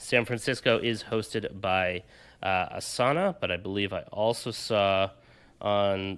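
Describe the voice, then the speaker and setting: This man talks at a fairly slow pace in a fairly low pitch, keeping his intonation fairly even. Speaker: tech podcast host. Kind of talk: casual chat. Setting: hotel room. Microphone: studio mic.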